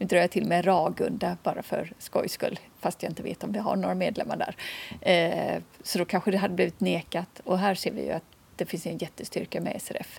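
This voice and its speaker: The speaker has a western Swedish accent and keeps a moderate pace. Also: woman. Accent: non-Scanian, western Swedish. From Swedish west coast, Kungsbacka near Gothenburg. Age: 50s. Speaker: visually impaired association chair. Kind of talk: interview. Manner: hesitant, with fillers.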